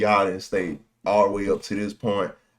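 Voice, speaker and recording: A man talks at a moderate pace with an American accent. The background is quiet. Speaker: YouTube movie reactor. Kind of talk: casual reaction video chat. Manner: rambling, animated. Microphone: good microphone, volume turned low.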